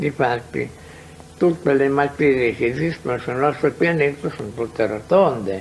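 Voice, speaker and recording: Noticeable background noise sits behind a man speaking at a fairly slow pace in a fairly high pitch. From Italy. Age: 80s+. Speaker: researcher. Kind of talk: interview. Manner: halting.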